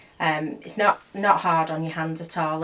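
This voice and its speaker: The woman's voice sits fairly low in pitch. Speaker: crochet vlogger. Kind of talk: casual chat. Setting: home craft room. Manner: soft-spoken.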